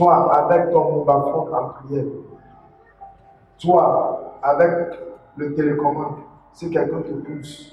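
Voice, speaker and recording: With a non-native accent, a man speaks very slowly in a fairly high, flat monotone, leaving long, frequent pauses amid audible room echo and noticeable background noise. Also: big swings in loudness. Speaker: preacher. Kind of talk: sermon. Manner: halting.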